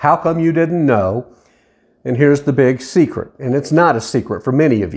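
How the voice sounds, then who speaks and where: A man with a plain, everyday voice, fairly high pitch, and lively intonation at a moderate pace. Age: 60s. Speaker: podcast host, widower. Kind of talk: personal monologue podcast.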